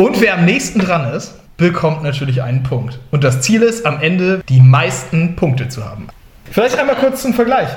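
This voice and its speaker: With noticeable background noise and audible room echo, a man speaks high for a man in an animated tone, his pitch swinging very widely. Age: 20s. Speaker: youth deacon and game host. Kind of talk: game show hosting.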